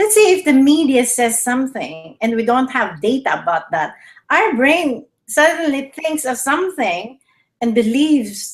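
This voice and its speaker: In a Filipino accent, a woman speaks at a fairly slow pace and high pitch, her voice making very wide pitch swings. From Philippines. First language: Tagalog. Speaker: health show host. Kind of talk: casual chat. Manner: halting.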